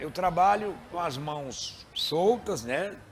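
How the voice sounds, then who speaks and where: This man's intonation is lively. Background music plays as he talks. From Maranhão, Brazil. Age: 60s. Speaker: radio presenter. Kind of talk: interview.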